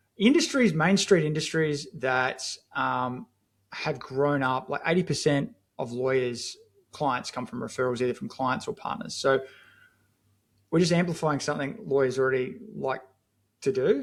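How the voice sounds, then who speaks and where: A man with an Australian accent speaks at a moderate pace in a fairly high pitch, his intonation lively and broken by long, frequent pauses. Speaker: marketing agency founder. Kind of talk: podcast interview. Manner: casual, filler-heavy.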